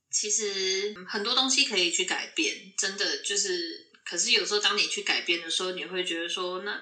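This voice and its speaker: Speaking with a Taiwanese accent at a moderate pace, a woman keeps a medium pitch with ordinary variation and hardly any pauses, and audible room echo surrounds her voice. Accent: Taiwanese Mandarin. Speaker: nurse. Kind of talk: casual interview chat.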